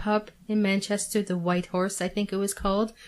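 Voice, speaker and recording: A woman's medium-pitched voice with a Canadian accent and monotone, flat intonation, in a very clean recording with a silent background. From Canada. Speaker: Coronation Street superfan. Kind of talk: radio interview. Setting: radio studio.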